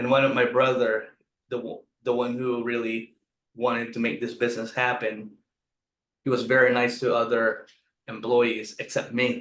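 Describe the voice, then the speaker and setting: A man with a Filipino accent. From Philippines. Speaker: restaurant owner. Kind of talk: interview.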